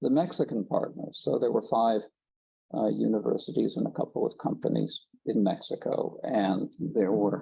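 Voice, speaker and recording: With an American accent, a man does the talking. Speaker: conference presenter, geothermal researcher. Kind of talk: conference presentation.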